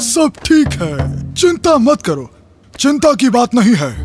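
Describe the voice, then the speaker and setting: Over faint music in the background, a man in a put-on character voice speaks at an extremely high pitch and a fairly slow pace. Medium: fan dub. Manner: laughing, casual.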